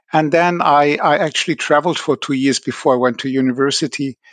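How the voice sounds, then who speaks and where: The man's voice sounds dry and close with no echo, set against a quiet background. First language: French and German. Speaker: professor. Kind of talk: interview.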